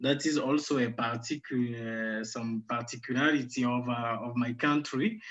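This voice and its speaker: Monotone, flat speech at a moderate pace, with hardly any pauses. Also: man, medium pitch for a man. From Central African Republic, Bangui. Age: 30s. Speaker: physician. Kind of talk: online talk. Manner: halting.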